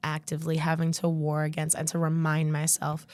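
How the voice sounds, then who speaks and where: A woman speaks at a fairly quick pace with a fairly low pitch in a normal speaking voice, on a very clean recording with a silent background. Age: 20s. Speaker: birth doula. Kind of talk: casual chat.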